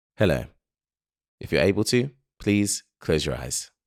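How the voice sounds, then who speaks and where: A man with vocal fry speaks at a fairly slow pace in a calm tone, his pitch swinging very widely. The sound is dry and close, with no echo. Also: fairly low pitch for a man. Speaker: content creator. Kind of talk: guided breathing meditation. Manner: slow, calm.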